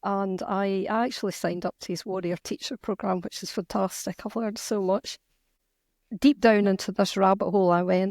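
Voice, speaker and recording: In a Scottish accent, a woman talks at a fairly quick pace with a medium pitch and fairly even intonation. It is a very clean recording, silent in the background, with a dry, close sound and no echo. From Scotland. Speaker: novelist and activist. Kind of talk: interview conversation.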